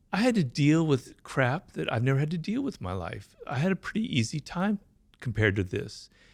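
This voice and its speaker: A man's medium-pitched voice with vocal fry, very wide pitch swings and a moderate pace. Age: 60s. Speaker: stroke survivor, writer. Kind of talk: interview testimony. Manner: halting, with repetitions and fillers.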